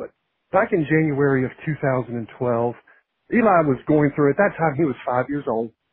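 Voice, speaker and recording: At a moderate pace, a man speaks with a Virginia accent. His pitch is fairly high, with ordinary variation. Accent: Virginia Southern. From Virginia, Shenandoah Valley (Harrisonburg). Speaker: pastor. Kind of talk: testimony. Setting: phone call.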